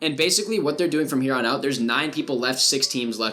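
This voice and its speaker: Noticeable background noise and audible room echo accompany a man speaking at a very fast pace with a medium pitch. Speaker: gaming YouTuber, esports analyst. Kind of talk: gameplay VOD review commentary.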